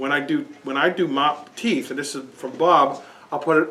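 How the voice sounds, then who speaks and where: This man speaks at a fairly quick pace. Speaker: seminar participant demonstrating a device. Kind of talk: demonstration to a small group. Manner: loud; halting, many restarts. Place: shop. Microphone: camera far.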